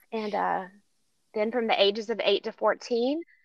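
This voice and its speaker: A woman with an unremarkable speaking voice talks at a fairly quick pace and medium pitch, with ordinary pitch variation, against a quiet background. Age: 50s. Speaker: trafficking survivor and advocate. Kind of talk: testimony.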